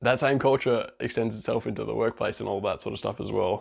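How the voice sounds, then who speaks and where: A man with a strong Australian accent, at a fairly quick pace. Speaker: vlogger, international student. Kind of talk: casual vlog monologue. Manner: fast.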